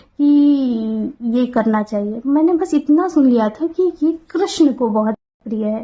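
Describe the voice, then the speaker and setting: Pitched high, the woman's voice rises and falls in an ordinary way. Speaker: devotional vlogger. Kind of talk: personal talk to camera. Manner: halting.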